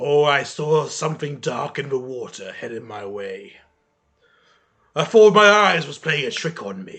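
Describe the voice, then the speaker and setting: Raspy and dramatic in tone, a put-on character voice moves at a moderate pace. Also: man, fairly high pitch for a man. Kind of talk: bellowing tavern storyteller. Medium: actual play. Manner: gruff, dramatic.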